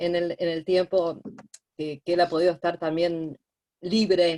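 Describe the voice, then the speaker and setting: Her tone dark and mellow, a woman speaks at a fairly slow pace with a fairly low pitch. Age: 60s. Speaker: therapeutic companion (student participant). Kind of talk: online class discussion.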